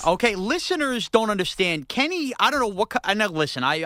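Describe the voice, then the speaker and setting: Someone speaks fairly quickly with a New York accent. Noticeable background noise sits behind the voice. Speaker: podcast co-host. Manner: playful, teasing.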